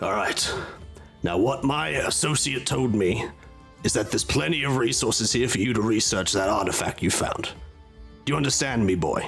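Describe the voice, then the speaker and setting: Clear music plays behind a man doing a put-on character voice. He keeps a medium pitch and a moderate pace. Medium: actual play.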